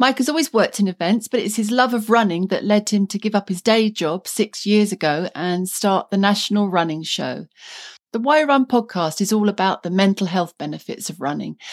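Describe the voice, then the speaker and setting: A plain, everyday voice at a fairly quick pace, with ordinary pitch variation and a dry, close sound free of echo. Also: woman, medium pitch for a woman. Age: 50s. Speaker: podcast host. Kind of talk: scripted narration.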